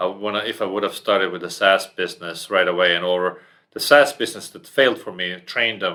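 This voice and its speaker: On a very clean recording with a silent background, a man with a non-native accent speaks at a fairly quick pace and fairly low pitch, his bright, sharp tone showing ordinary pitch variation and big swings in loudness. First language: not English. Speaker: entrepreneur. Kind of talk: podcast interview.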